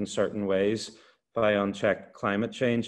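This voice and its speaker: In an Irish accent, a man with a fairly low pitch speaks at a moderate pace in monotone, flat intonation against a quiet background. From Ireland. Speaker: university lecturer on energy transition. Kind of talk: expert explanation. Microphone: video call.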